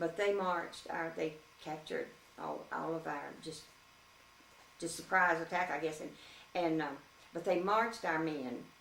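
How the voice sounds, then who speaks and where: A woman with a Louisiana accent speaks at a moderate pace with fairly even intonation and long, frequent pauses, over noticeable background noise. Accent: Southern American (Louisiana). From Shreveport, Louisiana. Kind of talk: interview answer.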